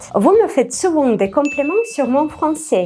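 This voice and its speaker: A woman speaks with a Russian accent and lively intonation. Her pace is fairly slow, with noticeable background noise. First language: Russian (speaking French). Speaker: vlogger. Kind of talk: scripted vlog monologue.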